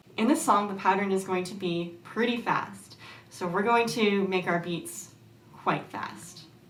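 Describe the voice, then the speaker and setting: Noticeable background noise runs under this recording. A woman speaks at a medium pitch and a fairly slow pace. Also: lively intonation. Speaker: ukulele teacher. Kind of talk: tutorial.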